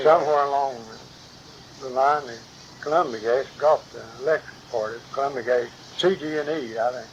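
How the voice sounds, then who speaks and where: With an American accent, a man speaks at a fairly quick pace in a fairly high pitch, yet leaves long, frequent pauses. His intonation is fairly even, and background noise is noticeable. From West Virginia. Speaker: retired gas company worker. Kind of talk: interview answer. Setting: home recording.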